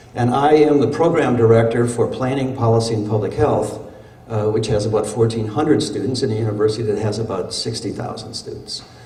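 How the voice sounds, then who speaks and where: A man with an American accent, medium-pitched, fairly quick and fairly even in intonation, amid noticeable background noise and audible room echo. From Wisconsin (Little Chute, Fox River Valley). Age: 70s. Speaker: professor and urban planner. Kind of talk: conference keynote speech. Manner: halting, with frequent fillers and repeats.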